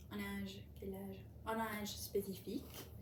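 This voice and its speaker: A woman is talking in a room with audible echo. Noticeable background noise is present. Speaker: language learner vlogger. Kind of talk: casual monologue about a book. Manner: slow; halting, many repetitions and fillers.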